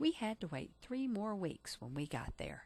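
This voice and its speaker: At a moderate pace, a woman talks in a somewhat breathy voice with very wide pitch swings. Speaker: teacher. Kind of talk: family history narration.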